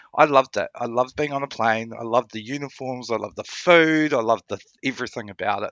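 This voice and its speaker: A man with a New Zealand accent talks at a very fast pace and medium pitch, with ordinary pitch variation. The sound is dry and close with no echo, over a quiet background. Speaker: podcast guest, traveller. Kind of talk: casual interview chat.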